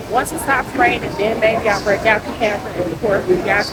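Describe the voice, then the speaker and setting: There is audible room echo. Noticeable background noise can also be heard. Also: woman. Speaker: travel vlogger. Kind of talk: casual vlog narration. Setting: outdoors in rain. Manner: halting, many fillers.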